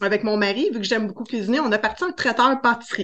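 A woman speaks with a Quebec accent in a fairly high pitch. Her tone is bright and sharp, with ordinary pitch variation. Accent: Québécois French. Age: 40s. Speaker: cake design entrepreneur. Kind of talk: interview.

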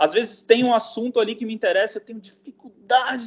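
A man talks with lively intonation. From Brasília, Brazil. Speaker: cook and artisanal food curator. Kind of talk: casual interview chat.

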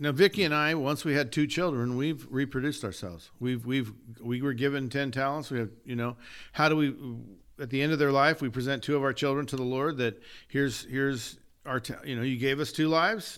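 In a very clean recording with a silent background, a man with an ordinary speaking voice talks at a fairly quick pace, his fairly high pitch showing ordinary variation. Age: 60s. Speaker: podcast co-host, church leader. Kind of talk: casual chat. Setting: in-person recording.

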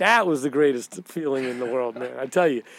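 A man talks with a New York accent. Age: 60s. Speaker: retired police detective. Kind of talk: storytelling interview.

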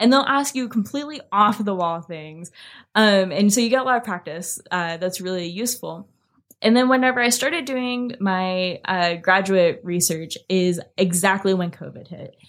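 A woman's unremarkable speaking voice at medium pitch and moderate pace, with lively intonation, on a very clean recording with a silent background. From US, small rural farming town. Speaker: behavioral neuroscientist. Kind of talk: casual interview. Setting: in-person studio recording.

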